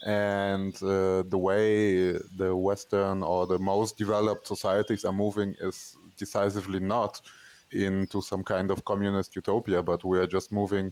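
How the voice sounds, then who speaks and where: This man has a fairly low pitch and a non-native accent, speaking at a moderate pace. His intonation is monotone and flat, and his loudness stays very even. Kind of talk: podcast conversation. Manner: hesitant, many fillers.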